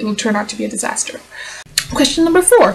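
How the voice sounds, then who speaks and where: Noticeable background noise sits behind a woman who talks with a non-native accent. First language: not English. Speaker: vlogger and aspiring novelist. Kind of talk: casual vlog answering tag questions.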